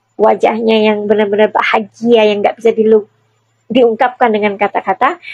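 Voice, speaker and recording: The woman's fairly high voice comes through with a dry, close sound and no echo. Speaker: tarot reader and celebrity commentator. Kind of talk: casual chat. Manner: halting.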